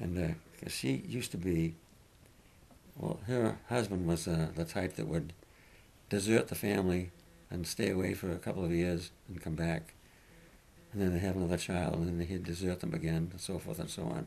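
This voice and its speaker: A man with an American accent and a very deep, low pitch speaks at a moderate pace in a dark, mellow tone with vocal fry, lively intonation and long, frequent pauses. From Massachusetts. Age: 80s+. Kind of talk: interview answer.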